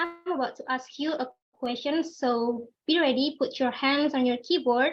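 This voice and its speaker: A high-pitched woman with an Indonesian accent. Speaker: club speaker. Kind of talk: prepared speech. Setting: video call.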